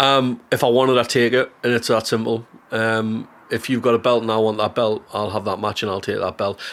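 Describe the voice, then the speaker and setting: In a Geordie accent, a man talks at a fairly quick pace with monotone, flat intonation. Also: medium pitch for a man. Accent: Geordie (Newcastle). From Newcastle, northeast England. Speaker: comedian. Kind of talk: casual chat.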